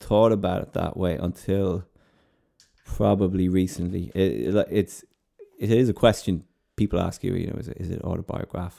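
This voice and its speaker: A man with a western Irish accent, dark and mellow in tone, at a moderate pace. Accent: Irish (west of Ireland). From Ireland, East Galway. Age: 30s. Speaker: playwright. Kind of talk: interview. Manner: halting, many repetitions.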